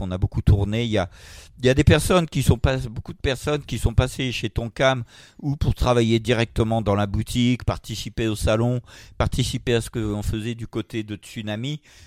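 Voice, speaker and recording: At a moderate pace, a man with a medium-pitched voice and ordinary pitch variation is captured in a very clean, dry, close recording with a silent background and no echo. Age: 60s. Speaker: manga publisher. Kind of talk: interview. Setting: at his home. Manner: halting.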